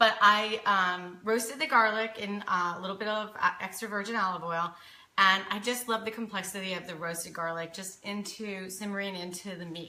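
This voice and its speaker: Bright and sharp in tone, a woman speaks at medium pitch with fairly even intonation, and audible room echo surrounds her. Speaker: cooking show host. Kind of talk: live cooking demonstration. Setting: home kitchen, live stream. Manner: casual, chatty.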